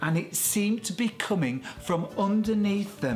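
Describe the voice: The speaker uses plain reading aloud, and the pitch moves in an ordinary way.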